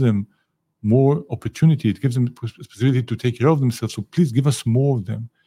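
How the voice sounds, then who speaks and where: In a very clean recording with a silent background, a man with an Israeli accent talks at a fairly quick pace, his medium-pitched, somewhat breathy voice dark and mellow, with ordinary pitch variation and a dry, close sound with no echo. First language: Hebrew. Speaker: ambassador, diplomat. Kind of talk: interview. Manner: animated.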